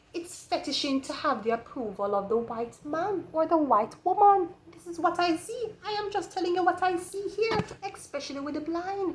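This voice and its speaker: A woman speaks with a Jamaican accent at a moderate pace. Her extremely high voice swings very widely in pitch and in loudness. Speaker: tarot reader. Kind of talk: tarot reading.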